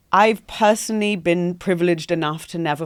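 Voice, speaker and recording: A woman with a London accent and ordinary pitch variation. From London, England. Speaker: entrepreneur. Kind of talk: podcast interview. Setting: podcast studio.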